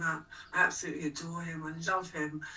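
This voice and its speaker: A woman's fairly low, monotone voice with flat intonation at a fairly quick pace, with music in the background. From London, England. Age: 60s. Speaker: punk singer-songwriter and activist. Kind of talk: interview conversation.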